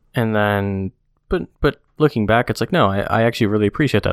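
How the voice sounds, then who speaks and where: Recorded very cleanly against a silent background, with a dry, close sound and no echo, a man speaks at a moderate pace and a fairly low pitch. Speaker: podcast co-host. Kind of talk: casual chat. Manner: projects well.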